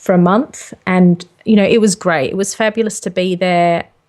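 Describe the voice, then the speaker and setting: At a fairly slow pace, a woman with an Australian accent speaks at a medium pitch with fairly even intonation. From Australia (Sydney), born in Liverpool. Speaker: home-educating parent, gaming youtuber. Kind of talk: casual interview.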